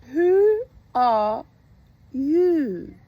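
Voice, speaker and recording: A put-on character voice, high in pitch, makes very wide pitch swings. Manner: languid, drowsy.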